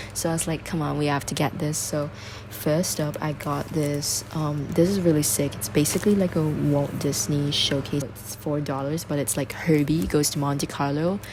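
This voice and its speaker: Talking at a moderate pace with ordinary pitch variation, a woman with a very deep, low voice is heard through audible room echo and noticeable background noise. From Singapore. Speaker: travel vlogger. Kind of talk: casual vlog talk. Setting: rental apartment. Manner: whispering. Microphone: bad audio.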